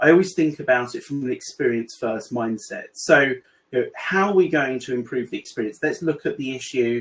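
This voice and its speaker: Speaking with ordinary pitch variation, a man has a British accent. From UK. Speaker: AI consultant in recruitment. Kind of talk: webinar presentation. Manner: hesitant, many fillers.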